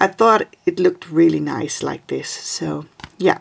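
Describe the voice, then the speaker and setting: A woman with a Dutch accent speaks at a fairly slow pace. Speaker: craft video creator. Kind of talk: tutorial. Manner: halting.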